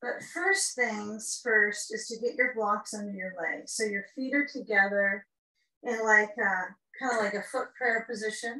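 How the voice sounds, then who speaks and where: A woman speaks at a fairly slow pace over a quiet background. The room echo is audible. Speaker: yoga teacher. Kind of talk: tutorial. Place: home room. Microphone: camera far.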